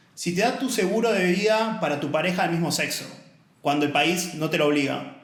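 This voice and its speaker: A man's high voice with lively intonation at a fairly quick pace, plus audible room echo and noticeable background noise. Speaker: author and diversity advocate, former accountant. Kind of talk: casual podcast interview.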